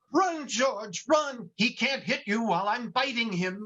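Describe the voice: Putting on a character voice, a man talks at a fairly slow pace with an extremely high pitch, a bright, sharp tone and lively intonation.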